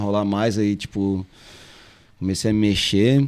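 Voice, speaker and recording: In a plain, everyday voice, a man with fairly low pitch speaks with fairly even intonation. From Florianópolis, southern Brazil. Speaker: music producer. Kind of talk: casual chat. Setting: live-streamed podcast.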